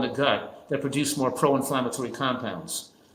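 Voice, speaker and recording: A man talks at a medium pitch and an even, moderate speed while noticeable background noise carries on behind him. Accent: American. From New Jersey. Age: 70s. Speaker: physician and nutrition expert. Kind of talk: interview. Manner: halting, with frequent self-corrections.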